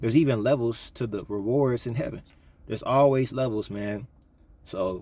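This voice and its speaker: On a very clean recording with a silent background, a man speaks at a medium pitch and moderate pace, his tone dark and mellow with ordinary pitch variation. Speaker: YouTuber giving life advice. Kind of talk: casual vlog monologue. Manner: casual, slangy delivery with repeated fillers.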